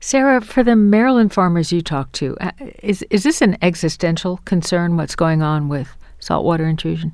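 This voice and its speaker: Delivered at a moderate pace with lively intonation, this is an unremarkable speaking voice. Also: woman, fairly low pitch for a woman. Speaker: radio host. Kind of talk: radio interview.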